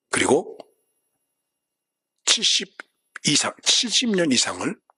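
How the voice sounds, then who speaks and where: Speaking very slowly with long, frequent pauses, a man is recorded in a dry, close sound with no echo. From South Korea. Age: 70s. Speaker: pastor. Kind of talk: sermon.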